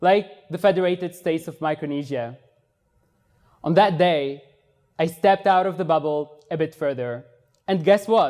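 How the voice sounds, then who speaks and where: With a Tunisian accent, a man talks at a fairly slow pace in a high voice. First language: Tunisian Arabic. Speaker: exchange student, speaker. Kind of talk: TED-style talk.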